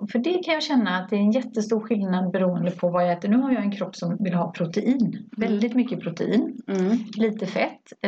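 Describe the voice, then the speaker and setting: A plain, everyday voice with ordinary pitch variation. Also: woman. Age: 50s. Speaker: podcast co-host. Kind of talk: casual chat.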